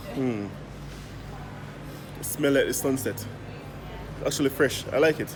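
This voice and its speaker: A man with a Jamaican accent at medium pitch, fairly slow, with long and frequent pauses over noticeable background noise. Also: ordinary pitch variation. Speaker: travel vlogger. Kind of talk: casual vlog. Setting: supermarket. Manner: animated.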